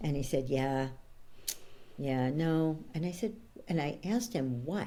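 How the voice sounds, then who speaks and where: With a New York accent, a woman with a very deep, low pitch and a dark, mellow tone speaks at a moderate pace with lively intonation in audible room echo. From New York, Brooklyn. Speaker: coach and author. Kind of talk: interview conversation.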